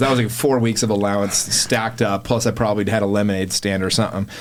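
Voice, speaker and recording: A man speaks very fast in an animated tone at a fairly low pitch. Noticeable background noise runs underneath. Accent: American. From Utah, Salt Lake area. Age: 40s. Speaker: podcast studio owner and podcaster. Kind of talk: casual chat. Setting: podcast studio.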